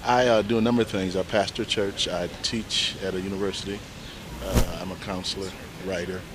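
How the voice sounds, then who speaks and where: Over noticeable background noise, a man with an American accent talks at a fairly quick pace and a fairly low pitch. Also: ordinary pitch variation. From Ohio small town. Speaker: university professor and pastor. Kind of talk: casual street interview. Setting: outdoors on a bench in a city square. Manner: halting, many fillers.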